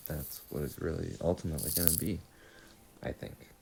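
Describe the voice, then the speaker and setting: Speaking at a fairly slow pace, a man's voice carries vocal fry. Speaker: podcast host. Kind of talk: casual monologue. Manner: halting.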